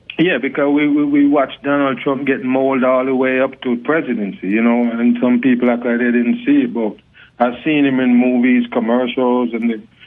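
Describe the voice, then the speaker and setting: With a Jamaican accent, a man speaks at a medium pitch and a fairly quick pace, his loudness very even and his intonation fairly even. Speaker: talk show guest, online commentator. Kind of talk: casual interview. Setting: phone call. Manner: cool, laid-back delivery.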